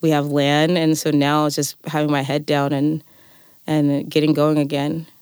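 At a fairly slow pace, a woman with a very deep, low pitch speaks in a flat monotone at very even loudness. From California Central Valley (Fresno). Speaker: winemaker and farmer. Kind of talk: interview conversation. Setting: studio. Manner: halting, many fillers.

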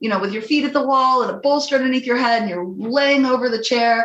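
Pitched fairly high, a woman talks with ordinary pitch variation in a room with audible echo. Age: 50s. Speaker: prenatal yoga teacher and midwife. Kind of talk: casual chat. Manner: animated.

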